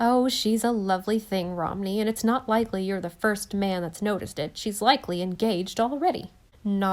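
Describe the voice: This is plain reading aloud. The words are read out plainly.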